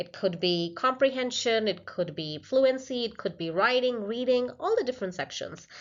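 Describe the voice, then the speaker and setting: A woman speaks with a high pitch and a non-native accent. Her intonation is lively. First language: not English. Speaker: PhD researcher presenting a study. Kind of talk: conference presentation. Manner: slightly halting, with fillers.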